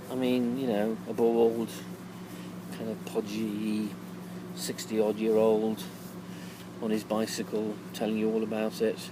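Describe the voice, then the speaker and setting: A man's fairly low, relaxed voice against noticeable background noise. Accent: English. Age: 60s. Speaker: touring cyclist vlogger. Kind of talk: casual video diary. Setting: outdoors at holiday resort in evening. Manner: relaxed, hesitant with fillers.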